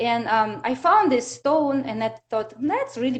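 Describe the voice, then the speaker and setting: A woman with a Russian accent speaks fairly slowly, her intonation lively. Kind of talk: interview. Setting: live video stream. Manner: halting.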